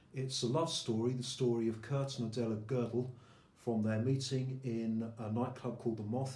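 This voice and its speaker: Noticeable background noise sits behind a man's voice. He talks at a moderate pace in monotone, flat intonation. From England. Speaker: poet. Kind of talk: introduction to a poetry reading.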